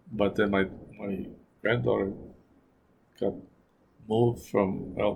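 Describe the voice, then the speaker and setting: The voice has vocal fry. Its pace is fairly slow. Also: man. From New Mexico. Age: 70s. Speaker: retiree interviewee. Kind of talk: oral history interview. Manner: halting, repetitive.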